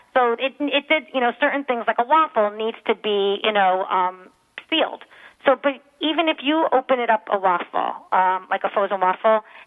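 A woman's ordinary speaking voice, fairly high in pitch, at a moderate pace with ordinary pitch variation. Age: 40s. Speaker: professional organizer. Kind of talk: radio interview. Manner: casual, filler-heavy.

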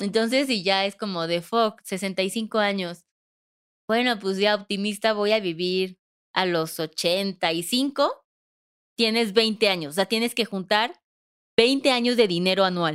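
On a very clean recording with a silent background, a woman speaks at a very slow pace, her medium pitch showing ordinary variation. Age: 30s. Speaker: financial advisor, podcast co-host. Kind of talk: casual explanatory chat.

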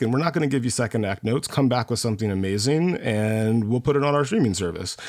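This is an ordinary speaking voice, a man's, at medium pitch with ordinary pitch variation. The recording is very clean, with a silent background. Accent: American. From United States. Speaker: film industry founder and contributor. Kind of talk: casual panel chat.

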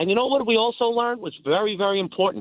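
This is a man speaking. He has a New York accent. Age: 60s. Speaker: caller. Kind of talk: call-in talk radio.

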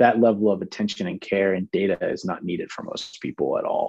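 A man has an unremarkable speaking voice, fairly low in pitch, and an American accent. He keeps a moderate pace with fairly even intonation against a quiet background. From Pittsburgh, US. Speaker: fitness industry entrepreneur. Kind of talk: casual interview.

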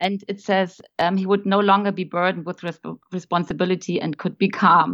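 A woman with a German accent talks at a moderate pace with hardly any pauses, using a medium-pitched, flat monotone with vocal fry over a quiet background. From Germany. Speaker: guest, old friend of host. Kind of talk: casual chat. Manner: halting.

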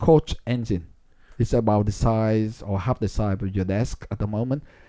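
Speaking at a fairly slow pace in a Vietnamese accent, a man has a dark, mellow tone and ordinary pitch variation in a dry, close sound with no echo. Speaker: politician and physics professor. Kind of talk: interview. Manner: halting.

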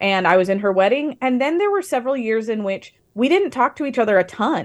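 A woman's normal speaking voice, fairly high in pitch, with lively intonation and a fairly quick pace on a very clean recording with a silent background. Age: 30s. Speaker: author. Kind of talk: interview.

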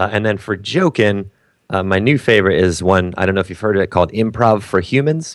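A man talks at a fairly quick pace in a fairly low voice with ordinary pitch variation. It is a normal speaking voice. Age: middle-aged. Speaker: comedian. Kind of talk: casual chat. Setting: video call.

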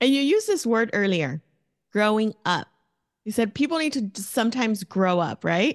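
A woman with an American accent at a moderate pace, in a dry, close sound with no echo against a quiet background. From East Los Angeles, Southern California. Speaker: financial coach. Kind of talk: interview.

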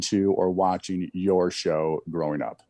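In a dry, close recording with no echo and a quiet background, a man speaks in a dark, mellow tone with fairly even intonation. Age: 40s. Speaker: retired NFL quarterback. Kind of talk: casual interview. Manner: halting, frequent restarts.

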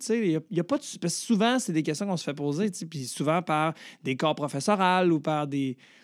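A man with a Quebec accent, high-pitched and animated, with lively intonation at a moderate pace, on a very clean recording with a silent background. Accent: Québécois French. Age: 30s. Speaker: comedian. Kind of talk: casual chat.

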